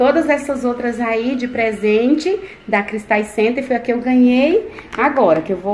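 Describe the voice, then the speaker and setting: Against light background noise, a woman speaks at a high pitch and a moderate pace. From Alagoas, northeast Brazil. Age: 30s. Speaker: family vlogger. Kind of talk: casual vlog talk to camera. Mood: delighted, warm. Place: home room. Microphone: phone near.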